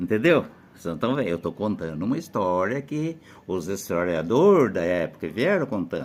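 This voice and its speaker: His pitch swings very widely as a man speaks. He keeps a moderate pace. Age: 80s+. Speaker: elderly local storyteller. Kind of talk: casual storytelling. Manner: halting.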